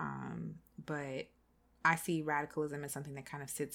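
A woman speaks in a very deep, low pitch with vocal fry. She has an American accent. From South Carolina. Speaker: podcast host. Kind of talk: casual chat.

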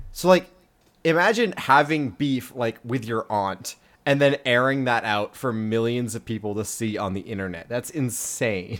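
This man speaks in an ordinary speaking voice at a moderate pace, with ordinary pitch variation. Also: medium pitch for a man. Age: 20s. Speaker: podcast co-host. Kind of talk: casual chat.

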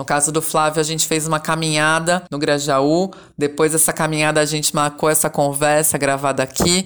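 Speaking at a moderate pace, a woman uses a very deep, low pitch and monotone, flat intonation. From São Paulo metro area, Brazil (Caieiras). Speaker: podcast host, journalist. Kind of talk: interview.

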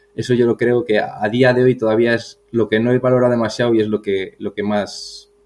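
A man speaks fairly quickly amid noticeable background noise. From Spain, Burgos. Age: 40s. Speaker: marathon runner and athletics coach. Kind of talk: casual interview. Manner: halting, repeats words.

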